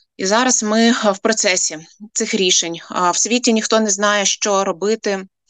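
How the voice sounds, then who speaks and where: A woman speaks with medium pitch and fairly even intonation. It is an ordinary speaking voice. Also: fairly slow pace, dry, close sound with no echo. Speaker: head of a nonprofit for families of prisoners of war. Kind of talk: radio interview.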